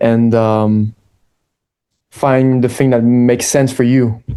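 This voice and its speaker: In a medium pitch, a man speaks with a dark, mellow tone and monotone, flat intonation. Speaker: skateboarder and social media creator. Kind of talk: interview. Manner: halting, searching for words.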